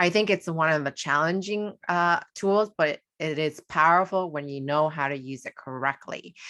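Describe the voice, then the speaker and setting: Against a quiet background, a woman with a fairly low, bright, sharp voice speaks at a moderate pace with hardly any pauses and ordinary pitch variation. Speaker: astrologer. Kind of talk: tutorial.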